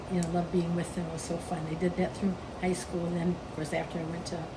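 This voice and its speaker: American-accented female speech against clearly audible background noise. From Michigan, USA. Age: old. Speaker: retired pastor's wife. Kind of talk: interview answer.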